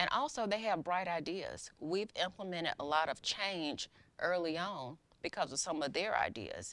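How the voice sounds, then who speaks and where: With a Southern US accent, a woman talks at a moderate pace in a fairly low voice with lively intonation. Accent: Southern American. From US South, Macon, Georgia. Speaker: county court clerk. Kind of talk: interview.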